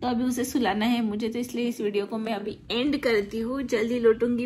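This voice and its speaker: Her high voice carries her words at a fairly slow pace. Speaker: family vlogger. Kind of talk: casual vlog chat. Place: home room. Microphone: phone near.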